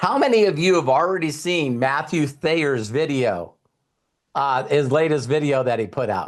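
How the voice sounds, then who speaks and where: At a moderate pace, a man speaks in an animated tone, his fairly high pitch rising and falling with lively intonation. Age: 60s. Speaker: motivational speaker. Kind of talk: motivational talk.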